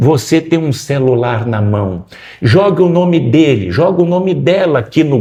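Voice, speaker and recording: Somewhat breathy, a man's voice has a dark, mellow tone. He speaks at a fairly slow pace with lively intonation. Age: 60s. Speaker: political candidate. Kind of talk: interview.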